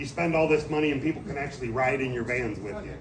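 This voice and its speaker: Room echo is audible as a man talks with ordinary pitch variation. Background noise is noticeable. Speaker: suspension sales expert. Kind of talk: product presentation. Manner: loud.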